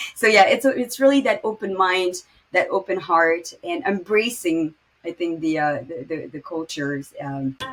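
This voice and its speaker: A woman speaks in a French accent at a moderate pace. Her medium-pitched voice has lively intonation. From Morocco. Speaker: podcast host and finance startup founder. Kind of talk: interview.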